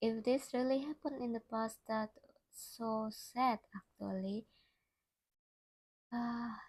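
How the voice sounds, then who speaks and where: A woman's somewhat breathy voice with fairly even intonation. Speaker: streamer. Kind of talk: live stream reading horror stories aloud with commentary. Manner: halting.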